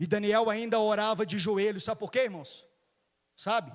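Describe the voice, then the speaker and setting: A man is speaking. His pace is moderate. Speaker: preacher. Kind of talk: sermon.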